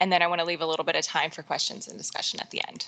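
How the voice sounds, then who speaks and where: A woman is whispering. Her words come out only in a whisper. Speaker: state agency water strategy specialist. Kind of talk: formal presentation at a public board meeting. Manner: fast.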